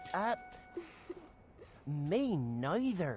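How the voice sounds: A woman's put-on character voice, low-pitched and slightly mellow, with big pitch swings at a very slow pace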